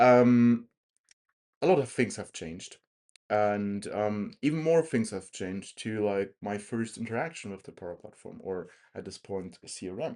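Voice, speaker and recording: A man speaks at a fairly slow pace with ordinary pitch variation, and the background is quiet. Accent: German. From Germany, Erlangen area (Franconia). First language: German. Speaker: tech podcast co-host. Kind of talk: casual chat. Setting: airport, recording together in person.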